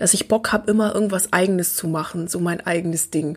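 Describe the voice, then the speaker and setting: A woman's medium pitch shows ordinary variation. Hers is a plain, everyday voice. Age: 20s. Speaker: learning coach and podcast host. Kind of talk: personal storytelling monologue.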